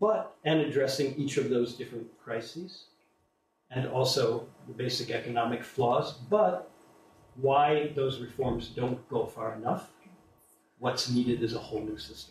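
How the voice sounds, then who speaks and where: A normal speaking voice from a man with an American accent, medium in pitch and at a fairly slow pace. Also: ordinary pitch variation. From USA. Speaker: invited speaker on alternative economics. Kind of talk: public talk to an audience.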